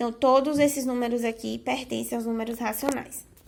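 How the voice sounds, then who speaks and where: In a very clean recording with a silent background, a woman speaks at a moderate pace in a high pitch. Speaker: math teacher. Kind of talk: video lesson.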